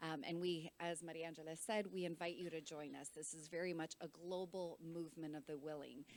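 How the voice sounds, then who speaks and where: Speaking at a fairly quick pace, a woman with an unremarkable speaking voice keeps a fairly low pitch and fairly even intonation. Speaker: NGO representative, panel speaker. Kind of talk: conference panel talk. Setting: conference room with interpreters.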